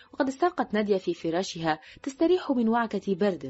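A natural reading voice carries this recording.

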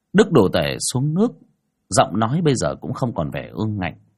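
Here is a natural reading voice. The background stays quiet.

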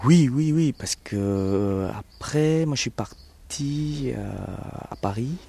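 This man talks at a very slow pace with lively intonation. His tone is dark and mellow. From Vietnam. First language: Vietnamese (speaking French). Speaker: Vietnamese immigrant. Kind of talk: interview. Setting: outdoors in a garden. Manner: halting.

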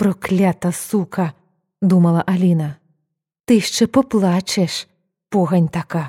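The speaker is plain reading aloud with fairly even intonation. The background is quiet.

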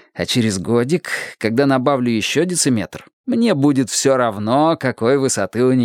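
This is a natural reading voice. It reads the text aloud.

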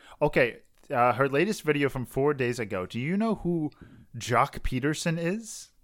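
Lively in intonation, a man with an unremarkable speaking voice talks at a moderate pace and a fairly high pitch. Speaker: podcast host. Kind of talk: casual chat. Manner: joking, rambling.

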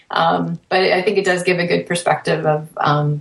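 A woman speaks at a moderate pace with a fairly low pitch and fairly even intonation, in a plain, everyday voice. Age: 30s. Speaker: triathlete, podcaster. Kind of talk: casual panel chat.

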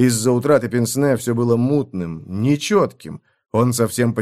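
A quiet background behind plain reading aloud

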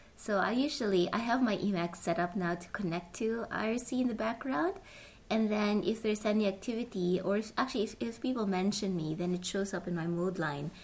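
A woman's somewhat breathy voice at medium pitch, fairly quick in pace, with ordinary pitch variation. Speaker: podcast host. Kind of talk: casual interview chat.

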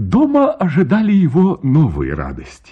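A man talks at a moderate pace with a fairly high pitch. His voice has a slightly husky edge and very wide pitch swings.

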